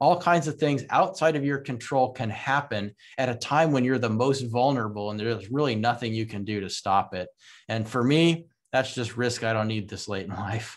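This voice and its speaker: With a plain, everyday voice, a man speaks at a moderate pace, his medium pitch moving with ordinary variation against a quiet background. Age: 50s. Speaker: real estate investor. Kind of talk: interview.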